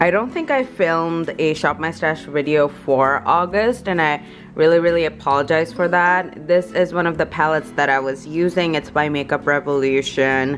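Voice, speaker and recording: A woman with a very deep, low pitch and ordinary pitch variation, speaking at a moderate pace with hardly any pauses over music in the background. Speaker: beauty vlogger. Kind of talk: casual makeup vlog.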